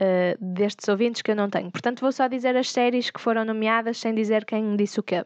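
In a dry, close sound with no echo and a quiet background, a woman with a fairly high pitch speaks at a fairly quick pace with fairly even intonation. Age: 20s. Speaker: podcast host. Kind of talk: casual solo monologue.

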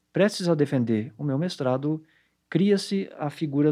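This man's pitch sits fairly high. His tone is dark and mellow. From Santa Catarina, southern Brazil (Blumenau). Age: 40s. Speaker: psychology professor. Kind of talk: interview monologue.

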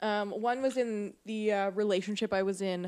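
Woman with a Canadian accent, fairly high pitch and moderate pace, in a very clean recording with a silent background. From western Canada. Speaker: podcast guest, host's friend. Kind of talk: casual chat. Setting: home, sitting on couch with dogs.

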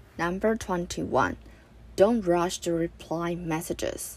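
Someone speaks at a very slow pace with a Chinese accent. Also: woman. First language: Mandarin Chinese. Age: 20s. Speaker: podcaster. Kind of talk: personal monologue.

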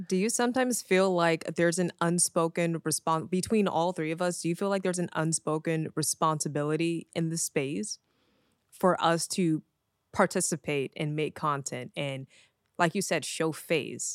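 This is a plain, everyday voice at a moderate pace with ordinary pitch variation, recorded very cleanly with a silent background and a dry, close sound with no echo. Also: woman, fairly low pitch for a woman. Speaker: music producer and content creator, podcast host. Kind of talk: casual interview chat.

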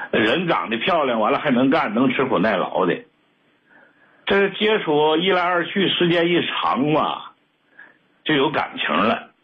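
A man speaks at a fairly slow pace with long, frequent pauses. His pitch swings very widely while his loudness stays very even. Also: fairly high pitch for a man. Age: 60s. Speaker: caller, retired businessman. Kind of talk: telling his story on a call-in show. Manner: halting with many fillers.

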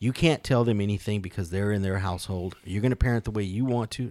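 Over a silent background in a very clean recording, a man has an ordinary speaking voice, a fairly low pitch and ordinary pitch variation. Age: 50s. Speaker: podcast co-host. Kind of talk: casual chat.

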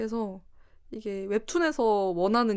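Here a woman talks at a medium pitch with ordinary pitch variation. Her pace is fairly slow. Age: 20s. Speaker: illustrator. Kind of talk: casual chat.

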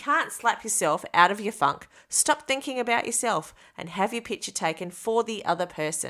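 A woman talks at a moderate pace and medium pitch, her tone bright and sharp with very wide pitch swings. The recording is very clean, with a silent background. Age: 40s. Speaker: podcast host. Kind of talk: personal reflection monologue.

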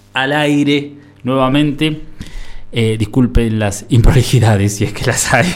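Male voice at medium pitch, fairly slow, with ordinary pitch variation, audible room echo and noticeable background noise. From Buenos Aires, Argentina. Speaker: radio host. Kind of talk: community radio interview. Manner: halting.

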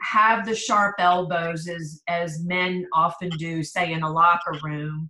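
In an American accent, the speaker has an unremarkable speaking voice with ordinary pitch variation and a fairly slow pace. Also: woman. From US East Coast (Pennsylvania/Maryland). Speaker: business leader and consultant. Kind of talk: casual interview.

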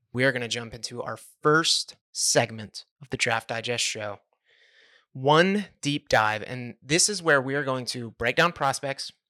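At a fairly slow pace, a man speaks in a bright, sharp tone with a medium pitch and ordinary pitch variation, recorded very cleanly against a silent background in a dry, close sound with no echo. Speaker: podcast host and draft writer. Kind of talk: casual chat.

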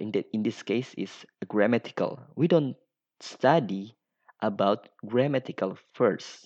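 A man with an Indonesian accent speaks at a fairly slow pace. His pitch is medium, with ordinary variation. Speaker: podcaster. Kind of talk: solo monologue. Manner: halting.

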